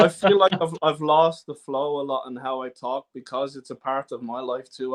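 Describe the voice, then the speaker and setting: A man with an Irish accent talks at a fairly quick pace and medium pitch. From Ireland, southeast Dublin. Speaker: folk singer-songwriter. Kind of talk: podcast interview. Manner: halting, stammering at times.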